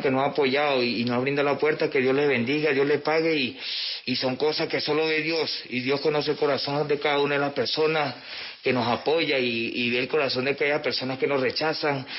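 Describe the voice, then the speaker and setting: In a Venezuelan accent, the voice runs at a fairly quick pace with monotone, flat intonation over noticeable background noise. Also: man. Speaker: refugee. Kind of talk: testimony. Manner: halting.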